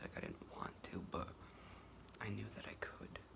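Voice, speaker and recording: A woman whispers in an American accent over noticeable background noise. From New York state. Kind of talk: casual talk to camera. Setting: close-up microphone, ASMR. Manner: whispered, rambling.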